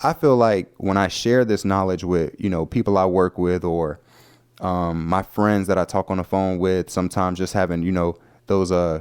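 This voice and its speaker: With a Southern US accent, a man speaks at a moderate pace in a very deep, low pitch and fairly even intonation. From US South. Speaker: podcast host. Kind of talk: casual podcast monologue. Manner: conversational, filler-heavy.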